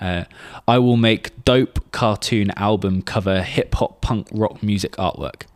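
A man speaks in a normal speaking voice at a fairly low pitch, fairly slowly and with fairly even intonation. The sound is dry and close with no echo, on a very clean recording with a silent background. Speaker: podcast host and musician. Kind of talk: casual podcast chat.

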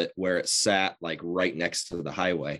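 The background is quiet as a man speaks at a moderate pace. He has a Midwestern American accent. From Southwest Iowa. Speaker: muralist. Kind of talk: interview. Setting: video call. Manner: halting.

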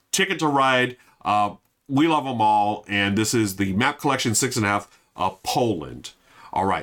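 In an American accent, an unremarkable speaking voice moves at a moderate pace with lively intonation and very even loudness. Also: man, medium pitch for a man. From US, Filipino American family. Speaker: board game podcast host. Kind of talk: casual solo review. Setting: live stream. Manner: casual, filler-heavy.

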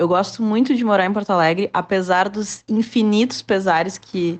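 Against a quiet background, a woman with an ordinary speaking voice talks at a moderate pace. Her pitch is medium and her intonation fairly even. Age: 20s. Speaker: social media influencer. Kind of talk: interview answer.

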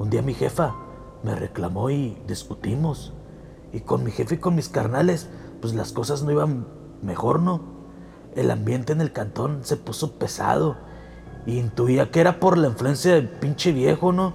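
With music in the background, a man speaks at a medium pitch and fairly slow pace, pausing long and often. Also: lively intonation. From Tijuana, Mexico. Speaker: podcast host and storyteller. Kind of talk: ghost story telling, horror narration in first person. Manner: animated, playful, casual intro and outro.

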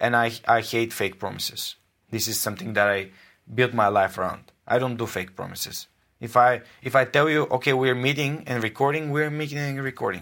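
A man with a Bulgarian accent, a fairly quick pace and a bright, sharp tone. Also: medium pitch for a man, ordinary pitch variation. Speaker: podcaster. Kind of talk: interview.

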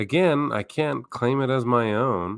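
With lively intonation, a man talks on a very clean recording against a silent background. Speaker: podcast host. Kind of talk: casual chat. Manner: halting, many fillers.

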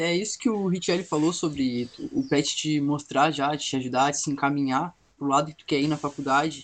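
With an unremarkable speaking voice, a man talks at a moderate pace with fairly high pitch, fairly even intonation and big swings in loudness against a quiet background. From southern Brazil, Pelotas. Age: young. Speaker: university student. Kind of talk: casual chat.

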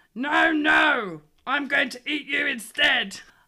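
In a put-on character voice, the speaker shouts and growls at a high pitch and a fairly slow pace. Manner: growling, threatening.

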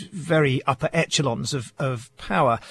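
A man's fairly high, somewhat breathy voice holds fairly even intonation. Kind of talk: scripted radio news report. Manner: polished, dramatic, measured narration.

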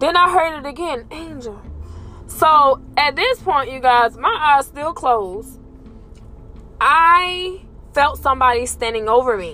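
Noticeable background noise behind a woman speaking with lively intonation. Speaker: podcaster and former elderly caregiver. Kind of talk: casual chat, then ghost story telling with hushed, suspenseful tension. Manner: animated, conversational, direct appeal to listeners.

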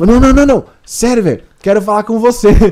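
A man's high-pitched voice, dark and mellow in tone, with ordinary pitch variation. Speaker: podcast guest. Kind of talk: casual chat.

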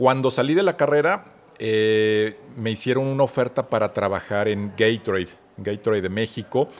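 Ordinary pitch variation at a moderate pace, with a Mexican accent. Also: man. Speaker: marketing expert. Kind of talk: interview.

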